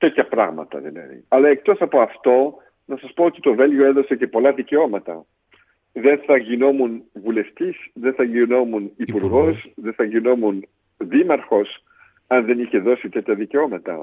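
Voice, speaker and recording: Intonation here is lively, at a moderate pace. It is an unremarkable speaking voice. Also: man. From Belgium, Brussels. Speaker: politician. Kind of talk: interview testimony.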